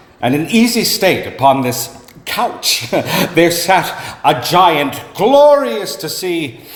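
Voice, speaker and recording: A man speaks very slowly at a high pitch, with very wide pitch swings. Noticeable background noise runs underneath. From Canada. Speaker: actor. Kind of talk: dramatic story reading. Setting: live venue.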